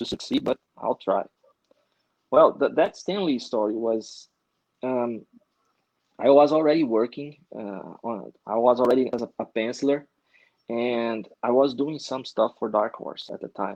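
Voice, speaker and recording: A Brazilian accent at a moderate pace, with ordinary pitch variation, long, frequent pauses, and a dry, close sound with no echo. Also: man. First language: Portuguese. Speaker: comic book artist. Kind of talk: casual interview. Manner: halting.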